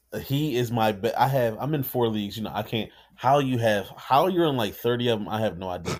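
A man with an ordinary speaking voice talks at medium pitch and a moderate pace, with ordinary pitch variation. The recording is very clean, with a silent background. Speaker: fantasy football podcast co-host. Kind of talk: casual chat. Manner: joking, laid-back.

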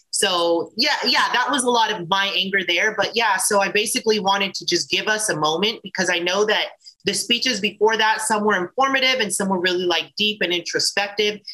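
At a fairly quick pace, a woman of medium pitch speaks with ordinary pitch variation over noticeable background noise. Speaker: adult performer and intimacy coordinator. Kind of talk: casual interview. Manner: fast.

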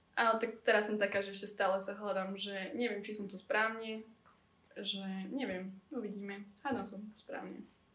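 Audible room echo surrounds a woman speaking at a moderate pace with monotone, flat intonation. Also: medium pitch for a woman, big swings in loudness. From central Slovakia. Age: 20s. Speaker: student and beauty pageant finalist. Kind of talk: casual chat.

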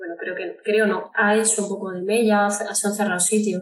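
A woman at a medium pitch and moderate pace, flat and monotone. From Andalucía, Córdoba. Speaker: singer-songwriter. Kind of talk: interview.

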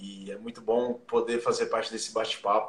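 A man's voice with noticeable background noise. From interior of São Paulo state, Brazil (Jaú). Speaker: sports journalist and rugby administrator. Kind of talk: casual interview.

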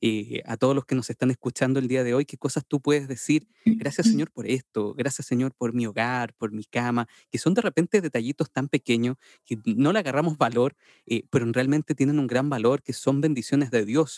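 At a moderate pace, a man with a medium pitch and ordinary pitch variation speaks in a dry, close sound with no echo. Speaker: podcast host. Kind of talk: casual interview. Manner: animated.

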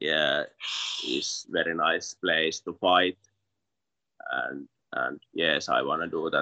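A man with a Finnish accent, very slow and full of long, frequent pauses, in a dry, close sound with no echo. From Finland. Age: 20s. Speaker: MMA fighter. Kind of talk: interview. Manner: halting.

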